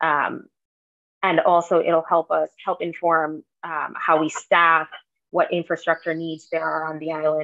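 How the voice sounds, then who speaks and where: A woman speaks at a moderate pace against a quiet background. Her fairly low pitch carries a monotone, flat intonation. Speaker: town staff member reporting. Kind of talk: meeting report. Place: home room. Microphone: video call.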